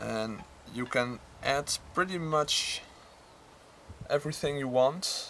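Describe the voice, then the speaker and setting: Speaking very slowly with long, frequent pauses, a man talks with a non-native accent. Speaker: crafts YouTuber. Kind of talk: tutorial. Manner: halting.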